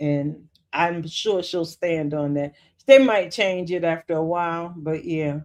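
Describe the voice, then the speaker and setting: Someone with an American accent talks at a fairly slow pace over a quiet background. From New York. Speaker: YouTube skit reviewer. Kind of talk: live stream chat. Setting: home. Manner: casual.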